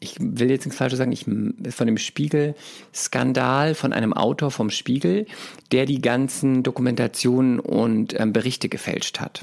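A man talks with a medium pitch that varies in an ordinary way. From Palatinate, Germany (Speyer). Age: 30s. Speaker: actor and talent agency owner. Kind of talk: casual interview chat.

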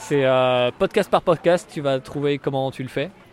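Noticeable background noise sits behind a man whose fairly high pitch shows ordinary pitch variation. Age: 20s. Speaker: comedian. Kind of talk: casual chat. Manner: hesitant, many fillers.

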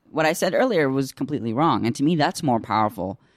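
An unremarkable speaking voice from a man with an American accent, medium in pitch, with lively intonation and a fairly quick pace, in a very clean recording with a silent background and a dry, close sound with no echo. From Iraq (Baghdad), raised in the US. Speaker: podcast host. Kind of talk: interview. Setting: archive interview.

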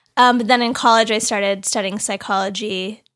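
A woman with an American accent, medium in pitch, with lively intonation and vocal fry. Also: very clean recording, silent background. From Los Angeles, California (West LA). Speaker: therapist. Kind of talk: casual chat.

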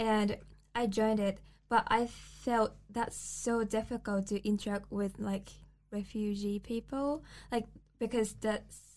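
The delivery is very slow and somewhat breathy, with a flat, monotone intonation. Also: woman. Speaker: student podcast host. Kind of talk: casual chat.

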